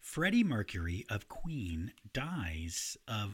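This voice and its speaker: The speaker is somewhat breathy and talks at a very slow pace with lively intonation on a very clean recording with a silent background. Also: man. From grew up in a city. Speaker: music podcast co-host. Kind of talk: casual chat about music history; reading prepared notes. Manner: animated.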